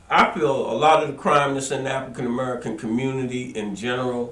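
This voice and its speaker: Amid audible room echo and noticeable background noise, a man talks at a medium pitch. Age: 60s. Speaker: talk show host. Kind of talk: interview.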